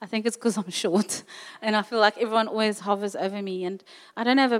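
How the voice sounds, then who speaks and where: A plain, everyday voice from a woman, fairly high in pitch, with fairly even intonation. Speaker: church member sharing a word. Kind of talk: testimony. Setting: church.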